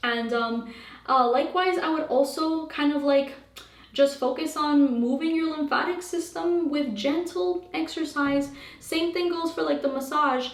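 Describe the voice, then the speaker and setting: A woman speaks in a high pitch with ordinary pitch variation, and room echo is audible. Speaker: holistic health coach. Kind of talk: Q&A monologue. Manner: fast; casual, many fillers.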